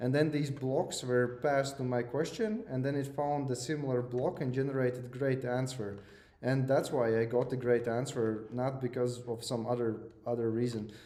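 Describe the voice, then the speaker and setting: Speaking at a moderate pace with medium pitch and fairly even intonation, a man is heard with audible room echo. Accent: non-native. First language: not English. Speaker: lecturer. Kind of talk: lecture. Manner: hesitant, many fillers and repeats.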